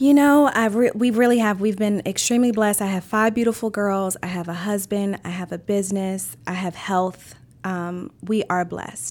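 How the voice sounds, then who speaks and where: A woman with an American accent and an unremarkable speaking voice, medium pitch, ordinary pitch variation, a moderate pace and hardly any pauses. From Maryland. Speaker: restaurant owner. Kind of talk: interview.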